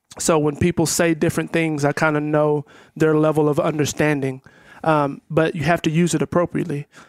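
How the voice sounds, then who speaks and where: In a Texan accent, a man with a fairly high pitch speaks at a fairly quick pace with monotone, flat intonation and very even loudness, the dry, close sound free of echo in a very clean recording with a silent background. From Texas. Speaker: educator. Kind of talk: casual chat.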